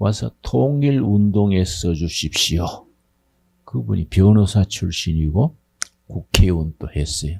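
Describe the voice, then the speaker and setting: A man talks at a very slow pace. His voice is very deep and low, with a dark, mellow tone. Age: 80s+. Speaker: pastor. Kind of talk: congratulatory speech. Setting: graduation ceremony with audience. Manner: informal, conversational.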